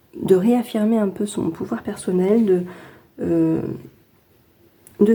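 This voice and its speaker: Speaking very slowly, a woman uses a medium pitch. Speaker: tarot card reader. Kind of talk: weekly tarot reading to camera. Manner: hesitant, casual.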